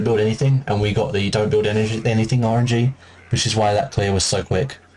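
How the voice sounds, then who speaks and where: Here a man speaks at a fairly quick pace in a fairly low, somewhat breathy voice. His intonation stays fairly even. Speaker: gaming speedrunner. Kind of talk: gameplay commentary tutorial. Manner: hesitant, many fillers; fast.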